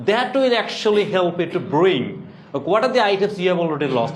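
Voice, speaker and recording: Over noticeable background noise and audible room echo, a man with a Bengali accent speaks at a high pitch. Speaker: English teacher. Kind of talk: classroom lecture.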